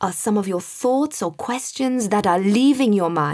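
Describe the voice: Someone gives a plain reading aloud.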